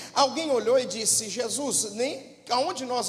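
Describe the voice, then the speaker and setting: Speaking in a São Paulo interior accent, a man with an extremely high pitch and ordinary pitch variation talks at a fairly slow pace amid audible room echo and noticeable background noise. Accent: rural São Paulo interior accent (caipira). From interior of São Paulo state, Brazil. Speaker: pastor. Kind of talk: sermon.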